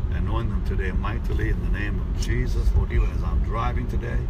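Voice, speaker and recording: The speech moves at a moderate pace. The sound is dry with no echo, with loud background noise behind it. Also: man. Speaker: preacher. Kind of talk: casual address to followers with prayer. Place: car. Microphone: phone near.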